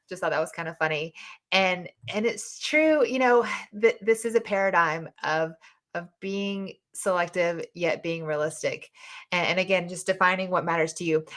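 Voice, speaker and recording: In a Southern US accent, a woman speaks at medium pitch and a moderate pace with ordinary pitch variation. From US South. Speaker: podcast host and dating mentor. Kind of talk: live audio chat room discussion. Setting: online live audio room.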